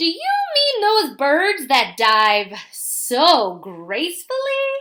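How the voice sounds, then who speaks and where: A loud, put-on character voice from a woman, extremely high in pitch, at a very slow pace. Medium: read story. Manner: loud, hearty.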